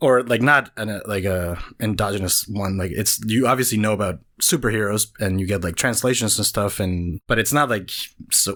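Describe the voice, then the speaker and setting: With a Spanish accent, a man talks at a fairly quick pace and fairly low pitch with ordinary pitch variation, in a very clean recording with a silent background. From Venezuela. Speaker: cartoonist. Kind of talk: casual chat. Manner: halting.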